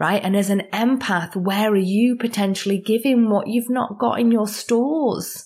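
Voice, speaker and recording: Fairly slow speech from a woman on a very clean recording with a silent background. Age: 30s. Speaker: spiritual life coach and energy healer. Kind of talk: solo podcast monologue. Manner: animated.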